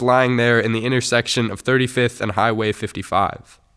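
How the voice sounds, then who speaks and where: A man with a plain, everyday voice and an American accent talks at a fairly quick pace and medium pitch, on a very clean recording with a silent background. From Minneapolis, USA. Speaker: spoken word poet. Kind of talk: spoken word poetry performance.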